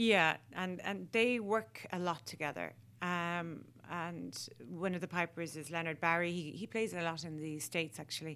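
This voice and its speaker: In an Irish accent, a woman with a fairly low pitch speaks at a moderate pace with ordinary pitch variation and a bright, sharp tone, on a very clean recording with a silent background. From Ireland. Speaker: artist. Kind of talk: interview. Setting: radio studio.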